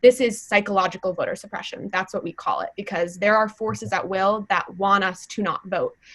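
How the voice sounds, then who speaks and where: A woman's unremarkable speaking voice, medium in pitch, fairly quick, with hardly any pauses and fairly even intonation. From US Midwest, Wisconsin. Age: 20s. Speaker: youth climate activist. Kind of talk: panel conversation.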